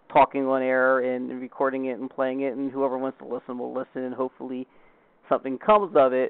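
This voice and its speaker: A man with a plain, everyday voice speaks at a fairly quick pace. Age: 40s. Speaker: podcast host. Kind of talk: casual interview chat.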